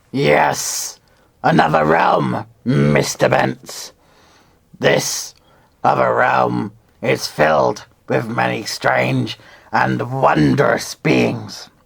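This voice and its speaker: A man's put-on character voice, raspy and very deep, with lively intonation, very even loudness, a very slow pace and long, frequent pauses. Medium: read story. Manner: formal, smoothly insistent.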